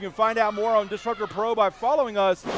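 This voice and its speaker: Noticeable background noise is present. A man speaks at a very fast pace. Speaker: wrestling commentator. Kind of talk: live pro wrestling commentary.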